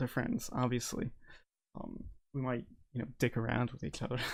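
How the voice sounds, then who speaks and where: A man's mumbling at a medium pitch and a moderate pace. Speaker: podcast co-host and YouTuber. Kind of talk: casual chat. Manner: stumbles over words.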